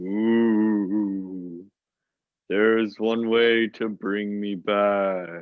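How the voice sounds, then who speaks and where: A put-on character voice. It moves at a very slow pace. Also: man, fairly low pitch for a man. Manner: mysterious.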